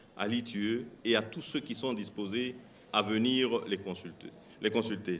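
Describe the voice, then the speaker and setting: This man's voice is medium in pitch, and he delivers his words fairly slowly. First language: a Congolese language (speaking French). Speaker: mining company executive. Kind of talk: panel discussion answers.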